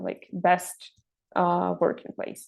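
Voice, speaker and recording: A woman with a Russian accent talks at a fairly slow pace. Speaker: intern and master's student. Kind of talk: interview. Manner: halting, many fillers.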